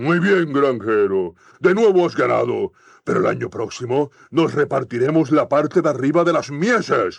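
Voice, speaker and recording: A man speaks loudly in a put-on character voice with very wide pitch swings. His pace is moderate over a quiet background. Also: fairly high pitch for a man. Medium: read story. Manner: loud, blustering, quick to rage.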